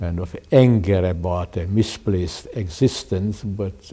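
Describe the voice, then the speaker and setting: With a Hungarian accent, this voice has a dark, mellow tone, ordinary pitch variation and a fairly slow pace. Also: man. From Hungary. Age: 80s+. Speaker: artist and educator. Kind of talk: interview. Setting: home.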